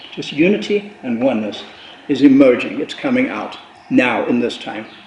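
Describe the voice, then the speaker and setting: Over noticeable background noise and audible room echo, a man speaks at a moderate pace with big swings in loudness. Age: 70s. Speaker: spiritual author and presenter. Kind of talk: panel discussion. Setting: cultural center with audience.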